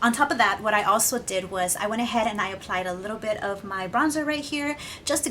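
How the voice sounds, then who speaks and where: A woman talks at a very fast pace in a fairly high pitch. Her intonation is lively, and noticeable background noise runs underneath. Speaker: beauty vlogger. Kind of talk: makeup tutorial with casual chat.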